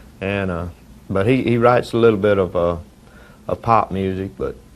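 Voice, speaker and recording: With a Southern US accent, a man speaks at a fairly quick pace in a fairly low pitch. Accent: country Southern. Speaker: country singer. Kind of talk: interview. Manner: halting.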